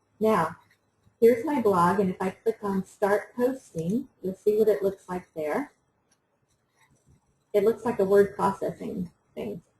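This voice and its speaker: The voice is somewhat breathy, with ordinary pitch variation. It moves at a fairly slow pace with long, frequent pauses. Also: woman, medium pitch for a woman. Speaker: teacher trainer running a workshop. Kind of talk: online workshop tutorial.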